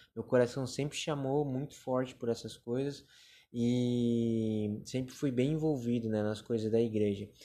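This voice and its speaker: The man's voice has a dark, mellow tone and a medium pitch. He speaks at a fairly slow pace with fairly even intonation. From Brazil, Joinville, Santa Catarina. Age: 20s. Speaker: podcaster. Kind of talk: testimony.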